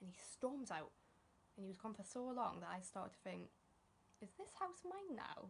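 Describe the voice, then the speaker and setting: A woman talks at a fairly quick pace with a fairly high pitch. Her voice has vocal fry. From northern England. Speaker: stand-up comedian. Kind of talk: stand-up.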